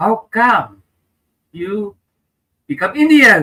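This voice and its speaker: A man with an Indonesian accent speaks in a bright, sharp tone with very wide pitch swings, the sound dry and close with no echo. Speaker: comedian and public speaker. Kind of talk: interview.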